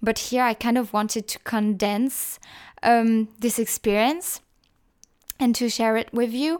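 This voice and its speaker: A woman's fairly high voice with a French accent, fairly even in intonation and fairly slow, in a very clean recording with a silent background. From northeastern France. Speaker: podcaster. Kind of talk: personal monologue. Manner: hesitant, many fillers.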